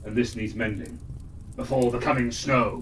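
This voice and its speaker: A man's put-on character voice at medium pitch and moderate pace, with clear background noise. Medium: read story. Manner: stately, regal rhyming speech.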